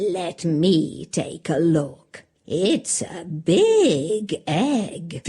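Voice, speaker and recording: In a cartoonish character voice at a middle pitch, the speaker growls at a very slow pace with hardly any pauses. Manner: fussy, scolding.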